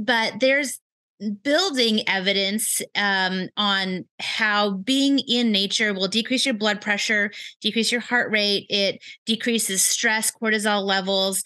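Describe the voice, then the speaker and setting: Speaking very slowly with an American accent, a woman has a bright, sharp tone, fairly high pitch, fairly even intonation and very even loudness. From Wisconsin. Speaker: nurse practitioner. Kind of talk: interview.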